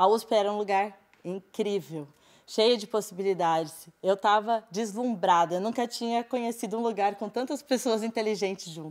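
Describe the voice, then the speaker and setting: A woman's speech keeps a moderate pace and ordinary pitch variation, set against a quiet background. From Brazil, interior of São Paulo state (Sertãozinho); São Paulo state, Brazil. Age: 20s. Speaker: teacher. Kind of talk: personal testimony talk. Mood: earnest, reflective, personal. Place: studio.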